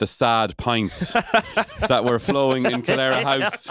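A man speaks with an Irish accent. The sound is dry and close with no echo, and the recording is very clean with a silent background. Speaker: podcast host.

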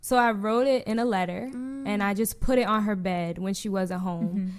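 A plain, everyday voice belongs to a woman with an American accent and a medium pitch. She talks at a fairly quick pace with ordinary pitch variation. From New Jersey. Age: 20s. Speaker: sex-positive digital content creator. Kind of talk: casual interview chat.

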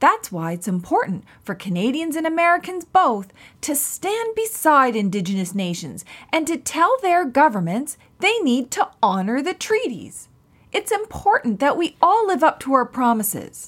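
A woman's high voice makes very wide pitch swings on a very clean recording with a silent background. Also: moderate pace. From Mi'kmaq territory, Atlantic Canada (Nova Scotia). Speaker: podcast host and professor. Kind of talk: children's educational podcast. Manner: animated.

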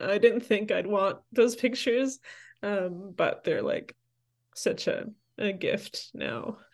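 A woman speaks with a Toronto accent. Her pace is very slow. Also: quiet background. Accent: Canadian (Toronto). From Toronto, Canada; Salvadoran parents. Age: 30s. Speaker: campus minister and church leader. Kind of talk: interview conversation.

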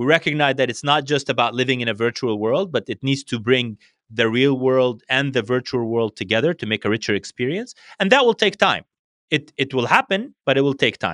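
Speaking at a fairly quick pace, a man uses a medium pitch with ordinary pitch variation. He has an Arabic accent. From Syria. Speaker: regional director at a tech company. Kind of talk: casual interview conversation. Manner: hesitant, with many filler words.

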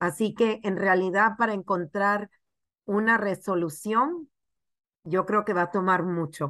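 A woman of medium pitch with a bright, sharp tone, in a dry, close sound with no echo. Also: ordinary pitch variation, fairly slow pace. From Panama. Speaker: TV journalist. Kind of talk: news interview.

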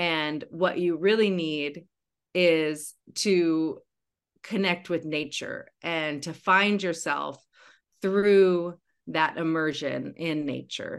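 A woman's fairly low voice in an American accent, at a very slow pace with fairly even intonation, over a quiet background. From western Washington, US. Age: 40s. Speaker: regenerative rancher. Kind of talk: interview. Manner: halting, many fillers and repeated words.

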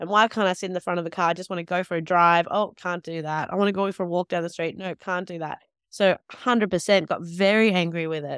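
Speaking in an Australian accent at a medium pitch, a woman keeps a fairly even intonation on a very clean recording with a silent background and a dry, close sound with no echo. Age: 30s. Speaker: nurse and midwife, author. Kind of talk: interview conversation.

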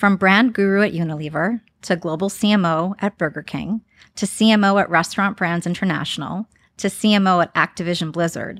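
In an enthusiastic tone with ordinary pitch variation, the voice keeps a moderate pace on a very clean recording with a silent background and a dry, close sound with no echo. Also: woman. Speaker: podcast host, marketing executive. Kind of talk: interview.

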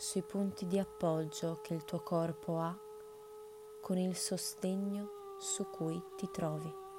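A woman speaks in a gentle, calm tone at a very slow pace, with long, frequent pauses. Noticeable background noise runs behind her. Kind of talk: guided meditation. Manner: slow, calm, soothing, with long pauses between instructions; gentle, soft-spoken, unhurried.

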